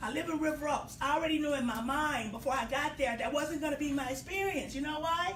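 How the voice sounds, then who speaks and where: With audible room echo and noticeable background noise, a woman talks in a high pitch at a fairly quick pace. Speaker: hair care business owner. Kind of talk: casual talk. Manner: animated.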